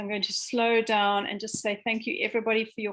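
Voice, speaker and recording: A woman with a fairly high pitch speaks in a monotone, flat delivery. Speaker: education researcher. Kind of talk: online seminar Q&A. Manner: hesitant, many fillers.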